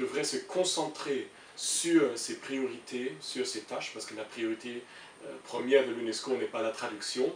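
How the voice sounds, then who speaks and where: A man at a fairly slow pace, his loudness swinging widely, amid noticeable background noise. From Germany. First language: German (speaking French). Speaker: international civil servant. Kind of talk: interview. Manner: halting, many hesitations.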